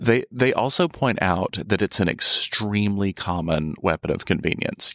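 This is an unremarkable speaking voice from a man with a fairly low pitch. He talks at a moderate pace, and the sound is dry and close with no echo. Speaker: writer and editor. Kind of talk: casual chat, interview-style. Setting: studio.

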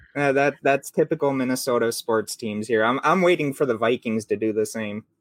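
The pitch varies in an ordinary way. The sound is dry and close, with no echo. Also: man. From Minnesota. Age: 30. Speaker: podcast host.

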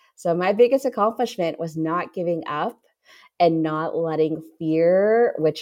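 An ordinary speaking voice from a woman at fairly low pitch, with ordinary pitch variation and a fairly slow pace against a quiet background. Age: 30s. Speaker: social media marketing strategist. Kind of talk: casual interview chat.

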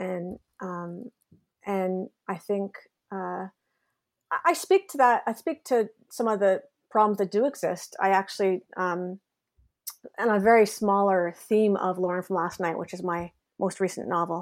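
With a Canadian accent, a woman speaks at a medium pitch and a fairly slow pace with ordinary pitch variation and long, frequent pauses, in a very clean recording with a silent background. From Canada, Ontario. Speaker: novelist. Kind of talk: casual interview.

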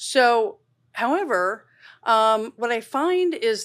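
On a very clean recording with a silent background, a woman with a fairly high pitch and lively intonation has an unremarkable speaking voice. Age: 50s. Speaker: dermatologist. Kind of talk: casual interview. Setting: studio.

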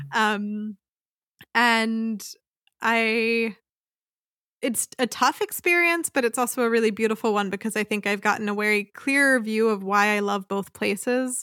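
On a very clean recording with a silent background and a dry, close sound with no echo, a woman with a Mid-Atlantic accent speaks fairly slowly in a fairly high, bright and sharp voice with ordinary pitch variation. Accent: American, Mid-Atlantic. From US, Philadelphia area, Pennsylvania. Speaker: librarian and podcaster. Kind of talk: interview.

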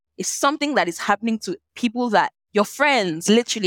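A woman with a Nigerian accent talks at a very fast pace in an animated tone, with ordinary pitch variation and a dry, close sound with no echo. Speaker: lawyer and social impact entrepreneur. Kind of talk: interview conversation.

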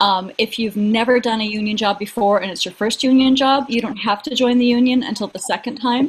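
A woman talks at a fairly quick pace with a fairly high pitch and hardly any pauses, over noticeable background noise. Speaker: acting career coach and podcaster. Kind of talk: casual comedic chat.

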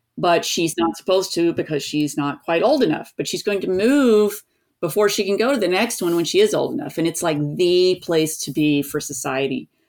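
A woman speaks with an American accent in a plain, everyday voice. Her intonation is lively and her pace moderate. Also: very clean recording, silent background. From US South, East Tennessee. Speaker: author. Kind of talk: interview conversation.

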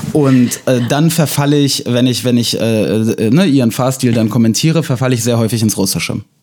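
A man of medium pitch speaks at a moderate pace with ordinary pitch variation. His loudness stays very even. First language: Russian (speaking German). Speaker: podcast host. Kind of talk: casual chat. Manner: hesitant, many fillers.

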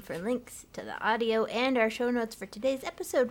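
This woman talks at a moderate pace in a fairly high pitch. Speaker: podcast co-host. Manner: chatty, playful.

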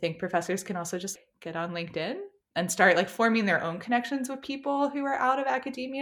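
This woman has an American accent. She talks at a very fast pace with lively intonation. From US South, North Carolina (Apex, Raleigh area). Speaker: psychology PhD, tech researcher. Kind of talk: interview conversation. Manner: casual, filler-heavy with frequent 'like'.

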